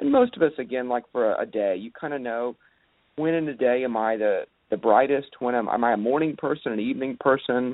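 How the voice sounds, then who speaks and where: An ordinary speaking voice, male, with an American accent, medium pitch, ordinary pitch variation and a fairly quick pace. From Texas (Dallas). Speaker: pastor and author. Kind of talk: radio interview.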